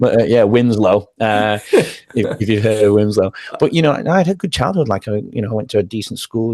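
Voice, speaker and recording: A man talks at a very fast pace with an English accent. His pitch sits fairly low. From northern England, Manchester. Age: 40s. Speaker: former teacher and wellness coach. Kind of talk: podcast interview.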